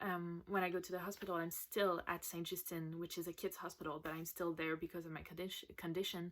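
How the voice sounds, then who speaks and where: A fairly quick, monotone delivery with flat intonation and hardly any pauses, in a Quebec accent, on a very clean recording with a silent background. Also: woman, fairly low pitch for a woman. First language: French. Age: 20s. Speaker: patient sharing her story. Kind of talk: recorded personal testimony.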